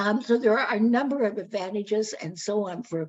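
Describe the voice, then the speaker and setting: Somewhat breathy and at a medium pitch, a woman talks at a moderate pace with lively intonation. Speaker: guest speaker on local history. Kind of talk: public talk. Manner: hesitant with many fillers.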